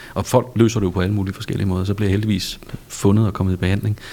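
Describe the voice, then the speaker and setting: Noticeable background noise surrounds a man talking at a very fast pace. His pitch is fairly low and his intonation fairly even. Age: 50s. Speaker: podcast host. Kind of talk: casual interview. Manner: stammering repetitions.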